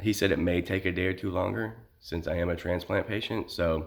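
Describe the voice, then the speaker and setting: A man with a very deep, low pitch speaks with fairly even intonation in a very clean recording with a silent background. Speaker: vlogger and kidney transplant patient. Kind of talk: personal vlog. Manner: halting, many fillers.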